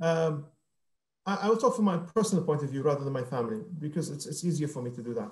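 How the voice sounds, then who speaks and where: A man talks at a very fast pace with lively intonation. His voice is fairly high and somewhat breathy. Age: 50s. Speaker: business executive. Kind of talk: interview.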